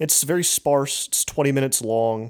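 The recording is very clean, with a silent background. A man speaks at a medium pitch in a plain, everyday voice with ordinary pitch variation. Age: 30s. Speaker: podcast host and journalist. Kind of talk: casual chat.

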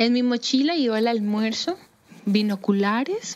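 This woman's voice sits fairly high, and her delivery keeps a moderate pace. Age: 30s. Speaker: primatologist. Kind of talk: personal storytelling. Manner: hesitant, with fillers.

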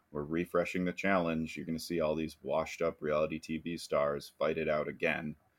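A man speaks at a fairly quick pace with a very deep, low pitch, monotone, flat intonation and hardly any pauses. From US Midwest. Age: 30s. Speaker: podcast co-host. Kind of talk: casual chat.

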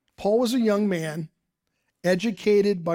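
The speaker is a man with an American accent. His tone is dark and mellow, at a moderate pace. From Ohio, US Midwest (Dayton). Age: 60s. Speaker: pastor. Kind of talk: sermon. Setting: church service streamed online.

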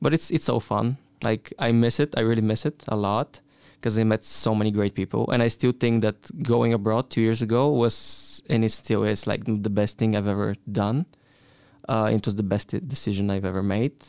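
In a Bulgarian accent, a man speaks at a moderate pace and fairly low pitch, the very clean recording dry and close with no echo and a silent background. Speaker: exchange student. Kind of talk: casual chat.

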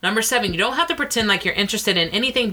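Over noticeable background noise, a woman talks in a playful tone with lively intonation. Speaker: podcast co-host. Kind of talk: casual comedic banter. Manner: sarcastic, playful.

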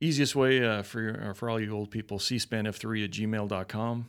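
A man with a medium pitch and a Western US accent, at a moderate pace. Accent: non-Southern American, Western US. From Colorado, US. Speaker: Marine veteran. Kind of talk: interview, casual chat.

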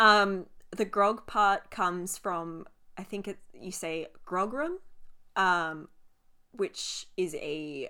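A woman with a strong Australian accent, medium pitch, ordinary pitch variation and a bright, sharp tone, on a very clean recording with a silent background. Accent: broad Australian (Ocker). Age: 20s. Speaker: podcast co-host. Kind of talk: casual chat.

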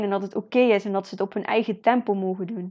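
Against a quiet background, a woman talks at a fairly quick pace in a medium pitch. Her tone is dark and mellow, and her intonation is monotone and flat. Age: 20s. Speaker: podcast host, motivational speaker. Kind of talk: motivational monologue.

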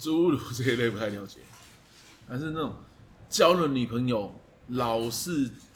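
Somewhat breathy and delivered at a moderate pace with ordinary pitch variation, the voice has a Taiwanese accent and audible room echo. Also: man. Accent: Taiwanese Mandarin. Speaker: fitness coach. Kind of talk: casual chat.

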